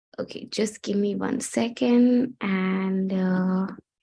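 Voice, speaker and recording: A woman talks at a medium pitch with ordinary pitch variation. The background is quiet. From India. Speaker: gender rights advocate and speaker.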